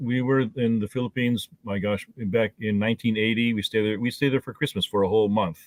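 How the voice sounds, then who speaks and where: Man with a Midwestern accent at a fairly quick pace, fairly even intonation and hardly any pauses. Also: medium pitch for a man. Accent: American Midwest. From northeastern Ohio, US. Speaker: mayor and attorney. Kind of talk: interview. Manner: halting, many repetitions.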